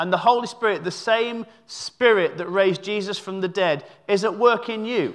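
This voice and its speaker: Against a quiet background, a man with a high pitch talks at a moderate pace. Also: ordinary pitch variation. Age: 30s. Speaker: visiting preacher. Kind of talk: sermon. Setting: church service. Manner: halting, filler-heavy.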